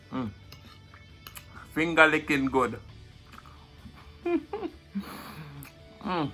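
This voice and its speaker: A man with a Jamaican accent speaks at a very slow pace and fairly high pitch, with ordinary pitch variation. He pauses long and often, with music in the background. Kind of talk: mukbang eating show, casual talk to camera.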